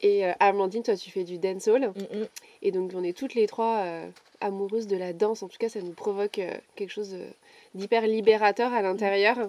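The woman has a normal speaking voice at medium pitch, with fairly even intonation at a moderate pace. Her loudness swings widely. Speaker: podcast host and coach. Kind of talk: casual chat. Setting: outdoors.

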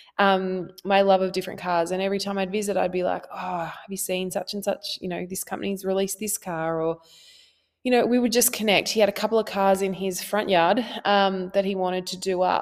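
A woman with an Australian accent, medium-pitched and warm-toned, speaking at a fairly quick pace in a monotone, flat intonation, on a very clean recording with a silent background. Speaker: therapist. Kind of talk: solo podcast talk. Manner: casual, warm.

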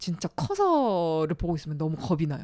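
A woman's tone is dark and mellow as she talks at a moderate pace. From Gyeongsang region, South Korea. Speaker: radio writer. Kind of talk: casual chat.

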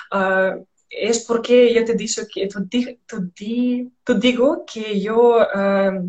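A woman talks with a Russian accent and fairly even intonation. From Belarus. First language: Russian (speaking Spanish). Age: 20s. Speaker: radio host, Spanish learner. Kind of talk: casual interview chat. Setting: Instagram live stream. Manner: halting, many fillers.

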